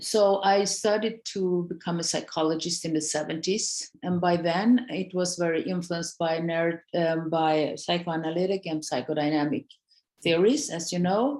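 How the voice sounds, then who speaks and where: A woman speaks with fairly low pitch and ordinary pitch variation. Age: 60s. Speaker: psychologist. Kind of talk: casual chat. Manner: halting.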